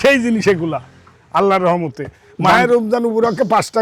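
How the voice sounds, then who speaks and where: This man speaks in a high pitch with ordinary pitch variation. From Bangladesh, Pabna (Ishwardi). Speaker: cattle farmer and dealer. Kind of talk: casual sales pitch on a farm.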